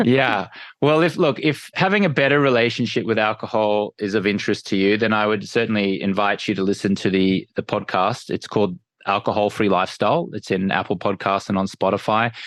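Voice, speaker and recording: With an Australian accent, a man talks at a fairly quick pace in a fairly low voice, his loudness very even. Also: ordinary pitch variation, quiet background. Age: 40s. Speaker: entrepreneur and sleep expert. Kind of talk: podcast interview. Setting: on the road, remote interview.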